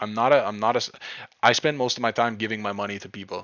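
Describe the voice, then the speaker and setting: This man talks with a Quebec accent. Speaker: crypto trading streamer. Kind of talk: live stream chat. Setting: live stream. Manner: casual, repetitive with frequent restarts.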